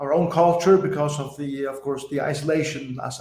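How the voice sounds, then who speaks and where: A man's fairly high voice with a Faroese accent, fairly even intonation and audible room echo. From Faroe Islands. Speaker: pastor. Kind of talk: podcast interview.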